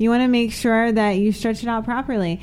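A woman speaks at a fairly quick pace with a New Jersey accent. Her pitch is fairly high and her intonation fairly even. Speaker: adult film performer. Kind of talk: casual chat. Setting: studio.

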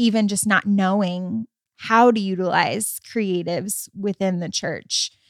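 In a very clean recording with a silent background and a dry, close sound with no echo, a woman with an American accent talks at a very slow pace in a monotone, flat intonation. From US Midwest, Michigan. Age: 30s. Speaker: host's wife, co-founder of arts ministry. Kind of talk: casual chat. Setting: at home on the couch.

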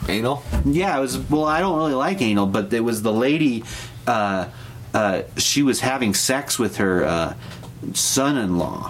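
A man with an American accent speaks at a fairly slow pace, his pitch swinging very widely while his loudness stays very even over noticeable background noise. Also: medium pitch for a man. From Grand Junction, Colorado. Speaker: podcast guest. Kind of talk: casual chat.

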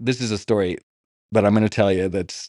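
A man with a fairly low pitch, a dark, mellow tone and ordinary pitch variation at a very fast pace, in a dry, close sound with no echo and a quiet background. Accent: American. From Los Angeles, US. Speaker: podcast co-host, son of a celebrity. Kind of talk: casual interview conversation.

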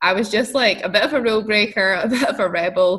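The voice, in a Scottish accent, shows ordinary pitch variation. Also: woman. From Scotland. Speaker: entrepreneur. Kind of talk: interview.

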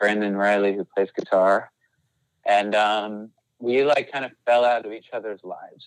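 A normal speaking voice, a man's, fairly low in pitch, at a moderate pace with fairly even intonation and big swings in loudness. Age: 40s. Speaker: rock band singer. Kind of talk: casual chat.

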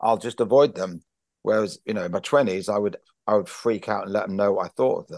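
In a plain, everyday voice, a man with a fairly low pitch talks at a fairly quick pace with lively intonation, the sound dry and close with no echo. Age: 50s. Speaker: stand-up comedian and writer. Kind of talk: casual interview chat.

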